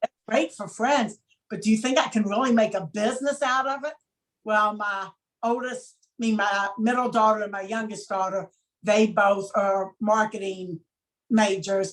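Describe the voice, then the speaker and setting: A woman's normal speaking voice, fairly high in pitch, at a moderate pace with ordinary pitch variation and big swings in loudness. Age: 60s. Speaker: chocolate maker, former dental worker. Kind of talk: interview.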